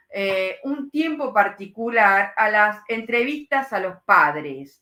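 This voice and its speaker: With a bright, sharp tone, a woman speaks at a very slow pace, her pitch swinging very widely. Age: 60s. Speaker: psychoanalyst. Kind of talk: lecture with live Q&A. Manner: hesitant, many fillers.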